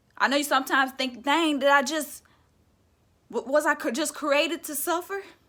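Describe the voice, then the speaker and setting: At a moderate pace, a raised, projected voice with a bright, sharp tone keeps to fairly even intonation. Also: woman, high pitch for a woman. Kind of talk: motivational spoken word talk to camera.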